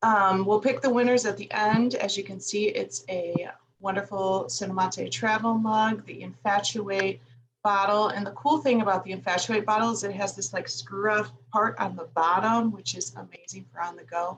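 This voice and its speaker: This woman has a medium pitch with ordinary variation and a slight Chicago accent, speaking at a moderate pace. Her voice is somewhat breathy, and its loudness swings a lot. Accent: slight Chicago-area. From US Midwest, Northwest Indiana near Chicago. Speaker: livestream host. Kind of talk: casual livestream chat. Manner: animated.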